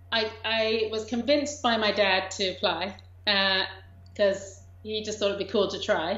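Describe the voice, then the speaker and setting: Her voice is fairly high with vocal fry, and the woman is heard with audible room echo. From England. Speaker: documentary director. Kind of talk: interview.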